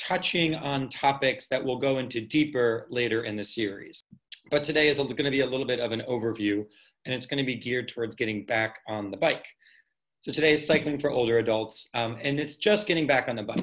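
A man speaks at a fairly quick pace against a quiet background. His pitch varies in an ordinary way. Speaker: cycling instructor presenting a workshop. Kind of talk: lecture. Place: home room. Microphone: webcam.

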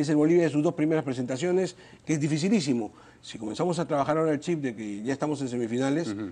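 With a dark, mellow tone and fairly high pitch, a man talks at a very fast pace with ordinary pitch variation. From Peru. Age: 50s. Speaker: congressman; politician interview guest. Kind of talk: TV interview. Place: studio. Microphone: lapel.

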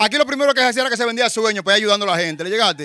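In a raised, projected voice, a man with an extremely high pitch and a bright, sharp tone is heard in a dry, close sound with no echo. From Dominican Republic, Santo Domingo barrio. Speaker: rapper, former gang member. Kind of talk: street interview, casual. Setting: outdoors in neighborhood.

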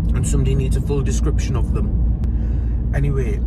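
A man at a moderate pace, dry sound with no echo, and loud background noise. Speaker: vlogger. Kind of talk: casual vlog chat. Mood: chatty, playful, self-mocking. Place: car. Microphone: phone near.

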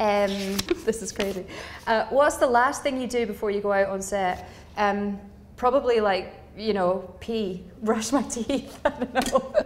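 Light background noise sits behind a woman with a Glaswegian accent. Her voice is fairly high and shows ordinary pitch variation. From Scotland, Glasgow. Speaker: actor; actor interviewee. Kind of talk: quick-fire interview answers; interview answer. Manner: hesitant with fillers. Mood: light, playful. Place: empty room. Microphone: lapel.

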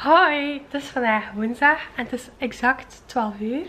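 Light noise sits in the background. The intonation stays fairly even. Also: woman. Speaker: vlogger. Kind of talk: casual vlog chat.

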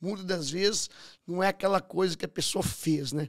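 The background is quiet as a man talks at a moderate pace. His pitch is high, with ordinary variation. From Brazil, Minas Gerais. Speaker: podcast host and entrepreneur; podcast host. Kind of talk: interview conversation. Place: studio. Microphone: studio mic.

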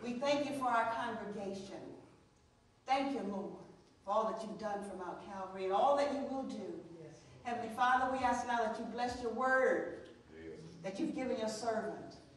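A woman at a moderate pace with long, frequent pauses, big swings in loudness, ordinary pitch variation, strong room echo and light background noise. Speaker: preacher. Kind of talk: sermon prayer. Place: church.

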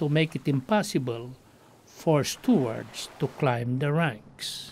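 A man with a Filipino accent speaks at a very slow pace. His pitch is fairly high, and noticeable background noise is present. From Philippines. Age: 70s. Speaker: retired navy steward. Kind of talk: documentary voice-over narration.

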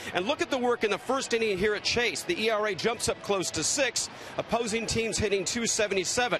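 A man speaks at a moderate pace with a high pitch and ordinary pitch variation. The sound is dry with no echo and light background noise. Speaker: sideline reporter. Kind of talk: broadcast pregame report. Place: stadium. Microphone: handheld.

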